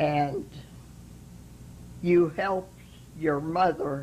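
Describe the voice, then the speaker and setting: Speaking at a very slow pace, a woman's voice carries vocal fry. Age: 80s+. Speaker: interview guest. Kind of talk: interview answer.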